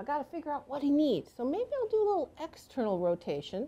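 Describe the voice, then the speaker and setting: Talking fairly quickly in an American accent, a woman has a high pitch, a dark, mellow tone and very wide pitch swings. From Washington State, US. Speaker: massage therapy instructor. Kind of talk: instructional demonstration.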